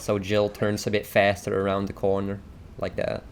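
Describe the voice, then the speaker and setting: A man with a non-native accent and a fairly low pitch. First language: not English. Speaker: gaming streamer. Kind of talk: tutorial. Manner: casual, hesitant with fillers.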